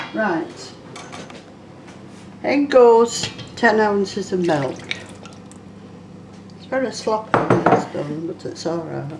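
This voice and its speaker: Amid noticeable background noise, a woman of medium pitch speaks at a very slow pace with long, frequent pauses, very wide pitch swings and big swings in loudness. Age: 80s+. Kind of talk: casual cooking demonstration.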